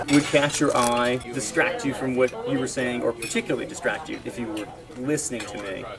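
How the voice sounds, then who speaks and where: A man's medium-pitched, fairly quick speech with fairly even intonation, amid noticeable background noise and audible room echo. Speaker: podcast co-host. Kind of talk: casual chat.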